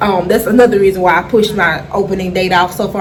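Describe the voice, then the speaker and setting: Amid noticeable background noise and audible room echo, a woman with a Memphis accent talks at a fairly quick pace in a medium pitch, animated in tone with ordinary pitch variation. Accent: Memphis Southern. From Memphis, Tennessee, US South. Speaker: vlogger and small food business owner. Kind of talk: casual vlog update.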